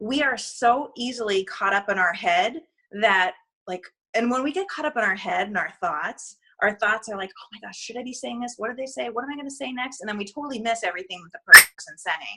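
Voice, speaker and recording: Bright and sharp in tone, a woman speaks with a fairly high pitch and lively intonation. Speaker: network marketing team trainer. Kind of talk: motivational training call. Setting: recorded conference call. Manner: fast when excited; animated.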